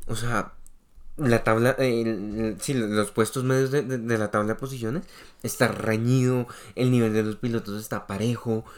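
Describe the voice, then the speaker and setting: On a very clean recording with a silent background, a man with an ordinary speaking voice talks at a fairly slow pace, medium pitch, and fairly even intonation. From Colombia. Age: 20s. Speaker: podcast co-host. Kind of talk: casual chat.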